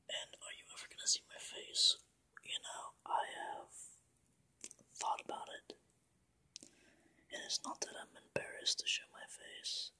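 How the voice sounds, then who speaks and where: The speaker whispers fairly slowly, with long pauses that come often. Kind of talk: ASMR Q&A talk. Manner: whispered.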